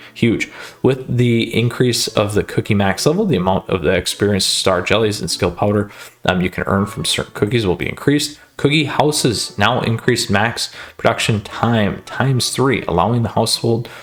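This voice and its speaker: Ordinary pitch variation in a man's medium-pitched voice. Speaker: gaming YouTuber. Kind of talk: game update walkthrough. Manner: fast; casual, filler-heavy.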